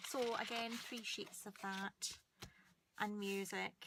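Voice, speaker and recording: A woman with a Scottish accent and a medium pitch, at a very slow pace. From Scotland. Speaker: paper crafter. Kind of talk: crafting tutorial. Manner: hesitant, many ums.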